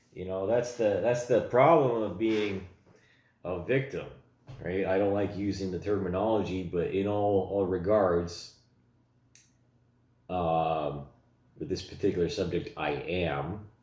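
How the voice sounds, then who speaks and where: A man with a fairly low pitch speaks at a fairly slow pace with long, frequent pauses in audible room echo. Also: ordinary pitch variation. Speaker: vlogger. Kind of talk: personal commentary monologue. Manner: halting, many fillers.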